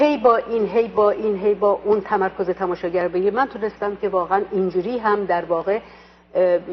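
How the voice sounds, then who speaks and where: A woman with an Azerbaijani accent talks at a medium pitch with fairly even intonation over noticeable background noise. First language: Azerbaijani (speaking Persian). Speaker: stage actress. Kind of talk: interview. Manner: hesitant, many fillers.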